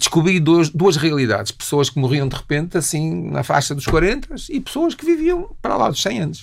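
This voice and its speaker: Hardly pausing at all, a man keeps up a moderate pace. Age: 60s. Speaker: nutritionist. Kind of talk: interview.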